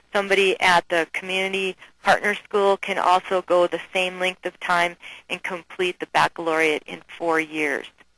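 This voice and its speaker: This woman speaks with a Minnesotan accent in a bright, sharp tone. Her intonation stays monotone and flat, and the sound is dry and close with no echo. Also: medium pitch for a woman, moderate pace. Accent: Minnesota. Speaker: nursing educator. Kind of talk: webinar presentation. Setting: online webinar.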